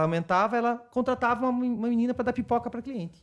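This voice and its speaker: A man speaks at a very fast pace in an extremely high voice. His pitch varies in an ordinary way. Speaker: retail marketing specialist. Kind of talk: casual interview chat.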